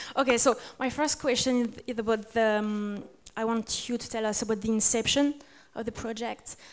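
A woman speaks with a French accent at a fairly high pitch. Her intonation is monotone and flat. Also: moderate pace. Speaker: interviewer. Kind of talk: interview. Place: hall. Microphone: handheld.

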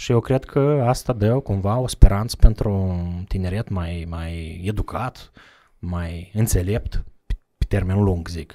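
Over a quiet background, a man speaks at a very slow pace in a fairly low pitch, his tone dark and mellow, with ordinary pitch variation and big swings in loudness. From Moldova, Bălți; Moldova. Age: 30s. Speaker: charity representative; podcast guest. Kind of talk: casual interview. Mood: calm, reflective. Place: studio. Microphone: studio mic.

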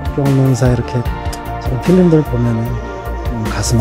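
Loud music fills the background. Over it, a man talks at a moderate pace. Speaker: actor. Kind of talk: interview answer. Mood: earnest, warm. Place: studio. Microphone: handheld.

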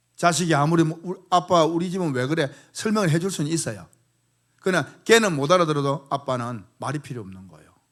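The recording is very clean, with a silent background. A man with a fairly high pitch talks at a fairly quick pace. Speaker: pastor. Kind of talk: sermon.

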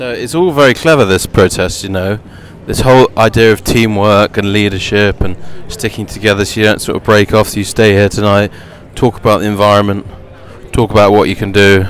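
A man talks at a fairly quick pace with a fairly low pitch and fairly even intonation. There is light background noise, and the sound is dry with no echo. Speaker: roving commentator. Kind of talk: casual walking commentary. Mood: light, wry, amused. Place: street. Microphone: phone near.

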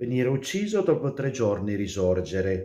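Against a quiet background, a man with a dark, mellow tone makes very wide pitch swings. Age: 40s. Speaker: priest; religious commentator. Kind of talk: gospel commentary; casual chat. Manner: hesitant, with fillers. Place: home room. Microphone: webcam.

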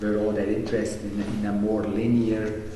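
At a moderate pace, a man talks in a fairly low voice, with audible room echo and light background noise. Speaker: interviewee recalling history. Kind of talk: oral-history interview. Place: classroom.

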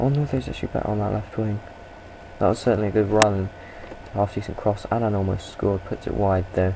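Someone speaks very fast over noticeable background noise. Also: man. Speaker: gaming video creator. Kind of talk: video game commentary. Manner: hesitant, many fillers; animated.

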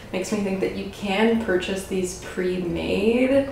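The speech moves at a fairly slow pace with ordinary pitch variation, carrying audible room echo and light background noise. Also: woman. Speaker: cooking channel host. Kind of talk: cooking tutorial chat. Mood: cheerful, laughs often. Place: kitchen. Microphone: camera far.

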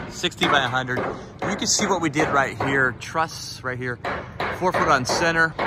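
Dry sound with no echo, loud background noise and a moderate pace. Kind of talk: casual walkthrough commentary. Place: open country. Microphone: phone near.

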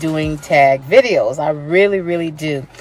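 Faint music plays in the background as the speech moves at a fairly slow pace, with dry sound and no echo. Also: woman. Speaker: vlogger. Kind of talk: casual vlog chat. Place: car. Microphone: phone near.

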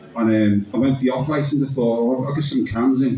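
Delivered at a fairly quick pace, the speech has audible room echo and light background noise. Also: man. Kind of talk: poetry performance and storytelling. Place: bar. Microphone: camera far.

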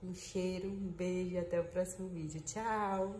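A woman's fairly low-pitched voice with audible room echo and light background noise. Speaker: vlogger in labor. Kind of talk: casual vlog chat. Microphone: phone near.

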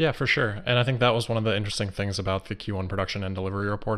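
Against a quiet background, a man speaks at a fairly low pitch. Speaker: remote interview guest, investor commentator. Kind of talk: interview answer. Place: home room. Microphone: video call.

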